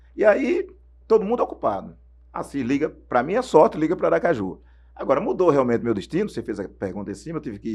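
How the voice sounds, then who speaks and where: The man's pitch leaps up and down over a very wide range. His delivery is fairly quick. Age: 60s. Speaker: former radio sports narrator. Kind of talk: interview storytelling.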